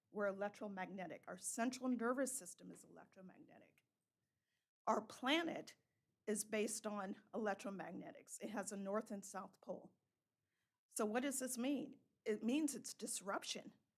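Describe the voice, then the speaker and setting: A somewhat breathy, fairly high female voice at a moderate pace with ordinary pitch variation and long, frequent pauses. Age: 60s. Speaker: member of the public making a comment. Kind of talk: public comment. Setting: town council meeting.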